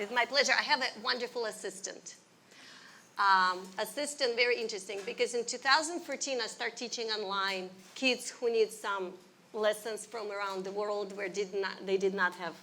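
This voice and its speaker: A woman talks at a moderate pace in a Russian accent, her fairly high voice showing ordinary pitch variation. Her tone is bright and sharp. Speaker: ballet teacher. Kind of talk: interview.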